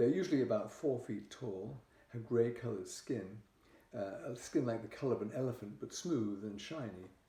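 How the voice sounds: This natural reading voice has lively intonation.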